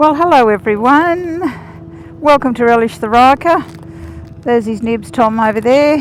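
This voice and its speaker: A woman with an Australian accent speaks fairly slowly at a high pitch with lively intonation. Noticeable background noise can be heard. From Australia, northern New South Wales. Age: 60s. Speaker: motorcycle vlogger. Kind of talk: casual vlog narration. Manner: chatty, halting.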